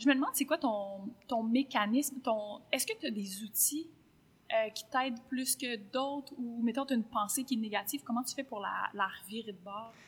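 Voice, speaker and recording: Speaking in a Quebec accent, a woman uses a high pitch with ordinary pitch variation at a moderate pace. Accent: Québécois French. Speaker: podcast host. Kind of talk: casual interview.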